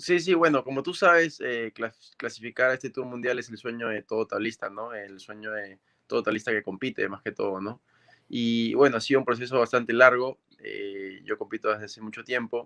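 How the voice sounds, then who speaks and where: Speaking fairly quickly in a normal speaking voice, a man of medium pitch uses ordinary pitch variation and big swings in loudness. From Peru, Máncora (northern coast). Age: 20s. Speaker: professional surfer. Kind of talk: remote interview.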